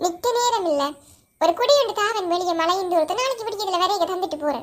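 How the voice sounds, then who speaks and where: In a cartoonish character voice, the speaker goes at a moderate pace with extremely high pitch. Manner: chatty, teasing.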